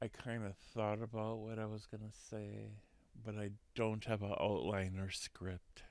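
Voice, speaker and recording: The delivery is very slow. The intonation stays flat and monotone. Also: man. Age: 50s. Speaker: podcast host sharing personal experiences. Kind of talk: unscripted personal monologue. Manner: halting.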